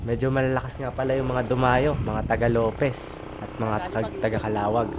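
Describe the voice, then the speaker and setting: There is audible room echo and noticeable background noise as a man talks at a fairly quick pace in a medium pitch with a monotone, flat intonation. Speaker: cycling vlogger. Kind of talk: live race commentary.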